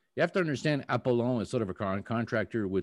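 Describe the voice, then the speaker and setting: A man with a French accent against a quiet background. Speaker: company CEO. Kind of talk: interview. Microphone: new microphone.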